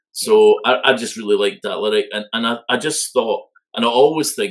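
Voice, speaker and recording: The pace of this man's speech is moderate. He has a Scottish accent. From Scotland. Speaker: music fan panelist. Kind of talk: casual chat.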